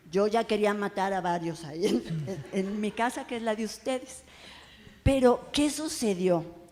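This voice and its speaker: A woman speaks at a medium pitch and a fairly slow pace. Her tone is animated and her intonation lively. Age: 60s. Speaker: writer and oral storyteller. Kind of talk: panel talk before audience. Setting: bar event with live audience.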